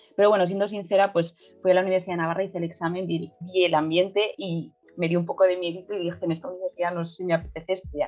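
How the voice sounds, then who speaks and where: A woman's flat, monotone delivery in a Madrid accent, fairly low pitch and very fast pace. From Madrid, Spain (Tetuán). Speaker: journalist. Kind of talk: casual interview chat. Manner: hesitant, many fillers.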